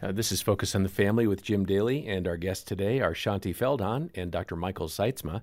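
A man with a normal speaking voice and a fairly low pitch, at a fairly quick pace with hardly any pauses. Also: ordinary pitch variation. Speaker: radio co-host and announcer. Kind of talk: radio show announcing. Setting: studio.

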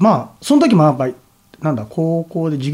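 A somewhat breathy man at a fairly quick pace, with lively intonation. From Tokyo (Nerima), Japan. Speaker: artist and painter. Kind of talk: casual interview.

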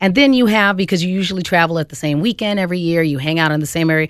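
A woman's medium-pitched voice with an American accent on a very clean recording with a silent background. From Phoenix, Arizona. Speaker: comedian. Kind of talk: radio panel discussion.

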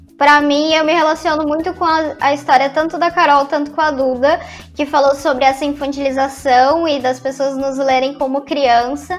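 A woman's high-pitched voice at a moderate pace, monotone and flat, with hardly any pauses. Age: 20s. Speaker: influencer. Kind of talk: casual chat.

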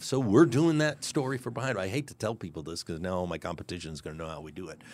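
A man with an American accent talks at a very fast pace, with very wide pitch swings and vocal fry. The recording is very clean, with a silent background. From Kansas City, Missouri, US Midwest. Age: 60s. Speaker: CEO of a historic landmark. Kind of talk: casual interview.

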